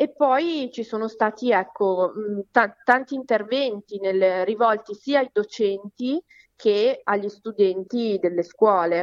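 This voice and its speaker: A woman's fairly high voice moves at a very slow pace, its pitch varying in an ordinary way. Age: 30s. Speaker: psychologist and local politician. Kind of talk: interview. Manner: halting, many fillers.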